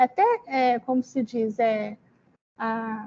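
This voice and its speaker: The sound is dry and close, with no echo. A woman is speaking. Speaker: teacher trainer. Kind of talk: online training presentation. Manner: halting.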